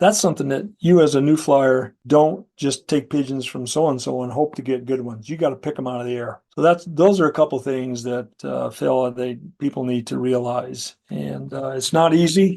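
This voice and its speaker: A man at a medium pitch with a dark, mellow tone, ordinary pitch variation, a moderate pace and hardly any pauses, over a quiet background. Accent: American. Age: 60s. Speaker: pigeon competition judge. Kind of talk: interview. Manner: casual, conversational with fillers.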